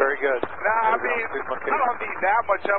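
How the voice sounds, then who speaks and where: There is noticeable background noise as a man speaks at a moderate pace, the sound dry with no echo. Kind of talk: radio conversation. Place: plane. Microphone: two way radio.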